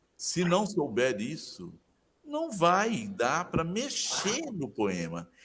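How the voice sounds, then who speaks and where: A man talks at a very slow pace with vocal fry. His pitch swings very wide. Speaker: literature professor. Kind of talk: interview.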